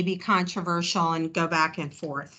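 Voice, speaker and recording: A woman with a bright, sharp tone speaks against a quiet background. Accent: New Jersey. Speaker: chair of a government advisory group. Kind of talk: virtual meeting discussion. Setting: video call. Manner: casual, chatty.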